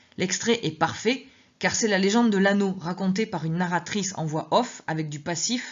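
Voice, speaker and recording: A somewhat breathy woman with a fairly low pitch talks at a moderate pace with ordinary pitch variation. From southwest France. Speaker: teacher reading her memoir. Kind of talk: reading aloud.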